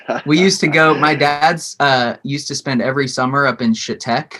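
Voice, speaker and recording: A man talks at a fairly quick pace in a fairly high pitch. His tone is bright and sharp. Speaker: musician and former dentist. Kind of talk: casual chat. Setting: video call from home studio shed.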